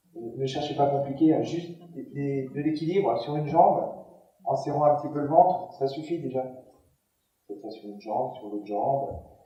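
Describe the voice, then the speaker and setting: A man's fairly high pitch with ordinary pitch variation, in audible room echo. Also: moderate pace. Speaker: gym instructor for seniors. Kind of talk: conference talk. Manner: halting, with many repetitions and fillers.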